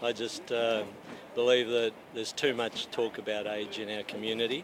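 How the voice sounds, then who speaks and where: A man talks at a moderate pace, his pitch medium and his intonation fairly even. Noticeable background noise runs under his voice. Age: 60s. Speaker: masters speed skater. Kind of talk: casual interview.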